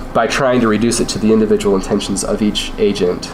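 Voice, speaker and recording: There is noticeable background noise behind a man talking. He moves at a moderate pace with lively intonation. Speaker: UX designer. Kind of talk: class lecture presentation. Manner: casual, hesitant.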